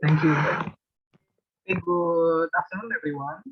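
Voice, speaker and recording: A man speaks at a moderate pace with an Indonesian accent. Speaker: university student presenter. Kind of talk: presentation.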